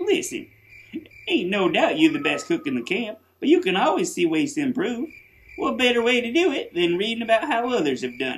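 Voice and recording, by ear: The cartoonish character voice runs at a fairly quick pace with fairly high pitch and very wide pitch swings.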